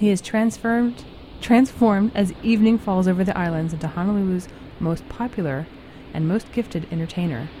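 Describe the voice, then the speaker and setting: A woman at medium pitch speaks at a fairly quick pace in an enthusiastic tone with ordinary pitch variation, against noticeable background noise. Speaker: radio DJ. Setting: radio studio. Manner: relaxed, meandering and self-deprecating, with casual um's and restarts; warmly enthusiastic fan tone.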